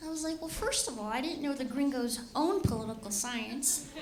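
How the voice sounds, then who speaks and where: A high-pitched woman's voice with an American accent and ordinary pitch variation, audible room echo and noticeable background noise. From Los Angeles, California. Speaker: comedian. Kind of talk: stand-up. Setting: stage with audience.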